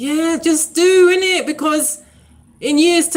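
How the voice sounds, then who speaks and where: A woman speaks with a British accent. Her tone is animated. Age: 40s. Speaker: YouTuber and diarist. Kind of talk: casual live stream chat. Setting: live stream.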